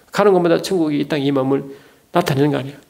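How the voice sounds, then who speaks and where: Pitch moves in an ordinary way as the voice carries audible room echo. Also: man. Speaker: theology lecturer and preacher. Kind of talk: lecture. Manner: fast; animated.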